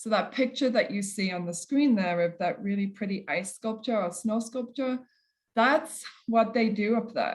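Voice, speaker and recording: With an English accent, a woman speaks at a moderate pace in a fairly high, somewhat breathy voice. Her pitch varies an ordinary amount. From England. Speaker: kinesiology professor. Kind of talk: lecture.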